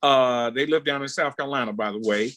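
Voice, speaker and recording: Dry and close with no echo, a man's bright, sharp voice comes at a fairly high pitch and a moderate pace. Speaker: panelist. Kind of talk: panel discussion. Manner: loud.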